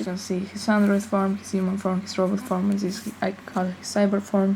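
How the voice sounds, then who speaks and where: A woman with a non-native accent mumbles at a fairly slow pace. Her medium-pitched voice stays monotone and flat. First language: not English. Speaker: amateur artist. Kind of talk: casual talk to camera. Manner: mumbly.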